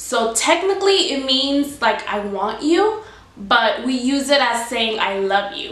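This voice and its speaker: A woman with a Spanish accent and a high pitch, at a fairly slow pace, with noticeable background noise and audible room echo. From Cuba, raised in US from about age seven. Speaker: YouTuber. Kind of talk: casual explainer vlog.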